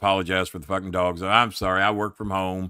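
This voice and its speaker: Bright, sharp tone from a male speaker. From Louisville, Kentucky. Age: 60s. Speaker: wrestling manager. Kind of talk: casual chat. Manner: animated.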